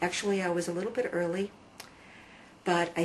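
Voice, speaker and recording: A woman speaks in a flat monotone at a fairly low pitch, with noticeable background noise. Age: 50s. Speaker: convert telling her story. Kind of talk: testimony. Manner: hesitant with fillers.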